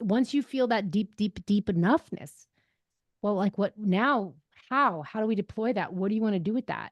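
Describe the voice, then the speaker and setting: The woman's speech shows ordinary pitch variation. Her sound is dry and close with no echo, over a quiet background. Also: medium pitch for a woman. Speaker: impact investing expert. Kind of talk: podcast interview. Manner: fast.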